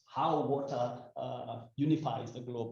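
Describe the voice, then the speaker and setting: A man speaks in a monotone, flat intonation. Audible room echo surrounds his voice. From Kenya, Rift Valley. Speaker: WHO health official, panel speaker. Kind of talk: panel speech. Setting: indoor breakfast event at ambassador's residence. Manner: halting, many fillers.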